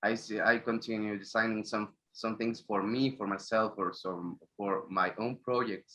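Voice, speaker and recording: This speaker has a Spanish accent and a bright, sharp tone. Delivery is monotone and flat at a moderate pace, with hardly any pauses. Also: man, fairly low pitch for a man. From Mexico. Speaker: graphic designer. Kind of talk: interview. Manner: halting.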